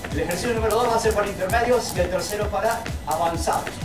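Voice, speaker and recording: Clear music plays in the background as a man speaks at a moderate pace in a high voice. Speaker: fitness trainer. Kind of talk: tutorial. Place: open country. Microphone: camera far.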